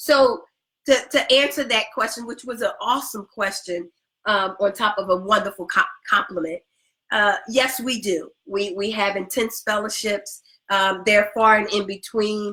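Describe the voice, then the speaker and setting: A woman speaks loudly at a moderate pace in a fairly high pitch, her tone bright and sharp with ordinary pitch variation. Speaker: relationship coach. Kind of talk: casual advice talk with partner. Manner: halting, many repeated words.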